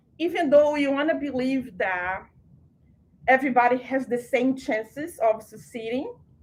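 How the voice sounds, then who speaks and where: With a Portuguese accent, a woman speaks at a high pitch and a fairly slow pace, her intonation lively. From Brazil. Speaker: program director. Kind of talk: orientation presentation. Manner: conversational.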